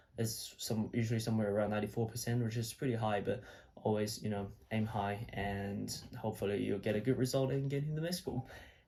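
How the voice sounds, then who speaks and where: Somewhat breathy and dark, mellow in tone, a man's fairly low voice rushes at a very fast pace with fairly even intonation. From China. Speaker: medical student, video blogger. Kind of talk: casual vlog talk. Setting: his old bedroom at home. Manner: casual, with fillers and repeats.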